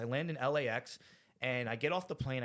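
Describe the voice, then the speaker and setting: At a moderate pace and medium pitch, a man with a New Jersey accent speaks with ordinary pitch variation. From New Jersey (Rahway). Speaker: recovering addict sharing his story. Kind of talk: testimony. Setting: studio. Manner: animated.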